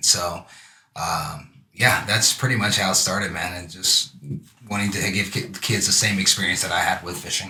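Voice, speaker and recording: A man with an American accent speaks at a fairly low pitch and a moderate pace with ordinary pitch variation, in a plain, everyday voice. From California, Santa Monica. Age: 40s. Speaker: youth fishing program founder. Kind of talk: casual interview. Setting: live stream show.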